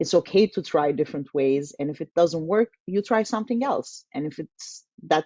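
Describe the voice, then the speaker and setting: Speaking in a Turkish accent, a woman uses a fairly low pitch with lively intonation. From Turkey. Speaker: tech community manager. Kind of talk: casual interview webinar.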